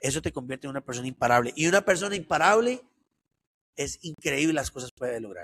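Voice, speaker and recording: A man talks at a very fast pace with a fairly high pitch and lively intonation. His loudness swings widely, and the sound is dry and close with no echo. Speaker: entrepreneur and motivational speaker. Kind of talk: interview.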